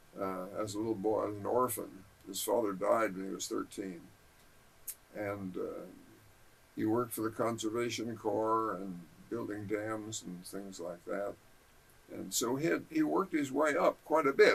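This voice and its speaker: A man with a Californian accent, fairly low in pitch, at a moderate pace with ordinary pitch variation and long, frequent pauses. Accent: American (Californian). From Southern California (Balboa Island). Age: 80s+. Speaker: local history interviewee. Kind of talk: oral history interview.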